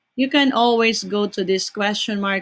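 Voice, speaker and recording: Over a silent background in a very clean recording, a woman speaks. Her pace is fairly slow and her intonation fairly even. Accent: non-native. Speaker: teacher. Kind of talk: tutorial. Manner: slow, deliberate dictation.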